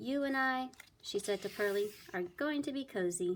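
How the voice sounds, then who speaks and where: A woman's put-on character voice at medium pitch, moderate pace. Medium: read story. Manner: doting, chatty.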